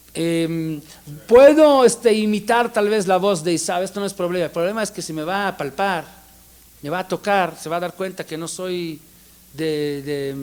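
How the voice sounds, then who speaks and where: High pitch from a man, paired with ordinary pitch variation. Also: moderate pace. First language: not Spanish; learned it as an adult (speaking Spanish). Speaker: rabbi teaching Torah classes. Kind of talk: lecture. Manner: halting, with repetitions and fillers.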